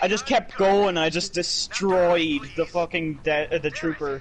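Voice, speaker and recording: Over noticeable background noise, a man talks at a fairly slow pace in a high voice with ordinary pitch variation. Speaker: gaming streamer. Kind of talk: casual chat. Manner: animated.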